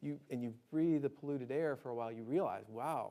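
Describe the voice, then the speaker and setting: A man talks at a very fast pace with a slight Alabama accent. His pitch moves in an ordinary way. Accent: slight Southern (Alabama). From Alabama, US South. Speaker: disaster preparedness speaker. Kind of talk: lecture. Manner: conversational, frequent 'right?' tags.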